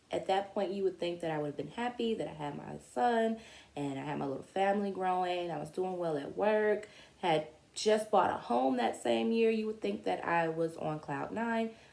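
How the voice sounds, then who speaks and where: A woman speaks at a moderate pace in an ordinary speaking voice. Her pitch sits fairly low, and her intonation is lively. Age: 30s. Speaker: vlogger. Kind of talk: personal story monologue. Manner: casual, conversational.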